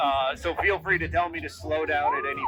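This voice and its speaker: A man talking at a fairly quick pace, with music in the background. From Vermont, US Northeast. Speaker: composting educator. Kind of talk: public talk. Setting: outdoors. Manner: fast.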